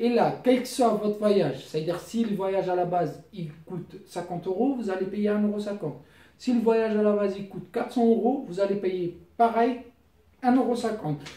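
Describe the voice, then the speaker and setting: Over audible room echo, a man with a high but dark, mellow voice and a non-native accent speaks at a moderate pace with ordinary pitch variation. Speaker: YouTuber giving money-saving tips. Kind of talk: casual tutorial. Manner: halting.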